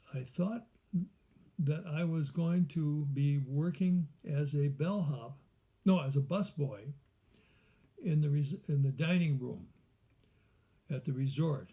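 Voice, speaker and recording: A man with an American accent speaks at a fairly high pitch, his tone dark and mellow and somewhat breathy, with ordinary pitch variation. His pace is very slow, broken by long, frequent pauses. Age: 80s+. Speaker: adult student writer. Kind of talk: reading aloud own writing. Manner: halting.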